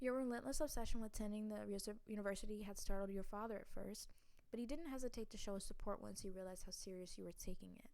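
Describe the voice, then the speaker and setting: A woman speaks at a very fast pace with ordinary pitch variation. Audible room echo surrounds her voice. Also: fairly high pitch for a woman. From US South. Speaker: gamer playing interactive fiction. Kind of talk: reading aloud with casual commentary. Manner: halting, with stumbles while reading.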